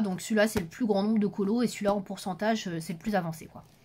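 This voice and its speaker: A woman talks at a very fast pace in a somewhat breathy voice. Her pitch is medium and her intonation fairly even. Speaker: YouTuber reviewing adult coloring books. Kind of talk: casual vlog talk to camera.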